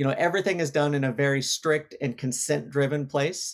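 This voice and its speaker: A man's fairly high voice, with ordinary pitch variation and a moderate pace. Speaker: ad tech executive. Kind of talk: interview. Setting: virtual studio.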